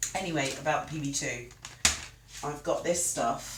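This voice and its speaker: A woman at a very slow pace, with noticeable background noise and audible room echo. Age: 40s. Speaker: cooking streamer. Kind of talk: live stream cooking chat. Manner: casual, chatty.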